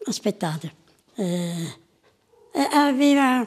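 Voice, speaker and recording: A woman speaks at a very slow pace, her fairly high pitch showing ordinary pitch variation. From southern Italy, Piedimonte Matese (Caserta province); Campania, Italy. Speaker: centenarian interviewee; interviewee. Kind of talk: interview. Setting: at home. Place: home room. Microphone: lapel.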